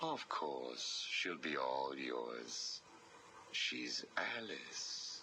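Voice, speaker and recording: A man uses a put-on character voice with a very deep, low pitch. He speaks very slowly over clear background noise. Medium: video game. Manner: smooth, persuasive.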